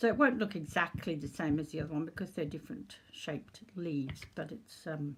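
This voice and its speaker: Her pitch is very deep and low, and the woman's voice comes across as somewhat breathy. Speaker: crafter demonstrating junk journal making. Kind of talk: tutorial. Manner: casual, unhurried.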